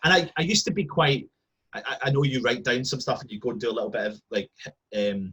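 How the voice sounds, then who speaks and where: A man with a Scottish accent talks very fast in a fairly high, bright, sharp voice with very wide pitch swings. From Scotland. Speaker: football fan. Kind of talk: casual chat. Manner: animated.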